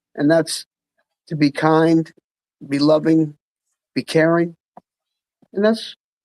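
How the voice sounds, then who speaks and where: Fairly slow delivery with long, frequent pauses, in a New Jersey accent. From New Jersey, Freehold. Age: 60s. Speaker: musician. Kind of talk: casual chat.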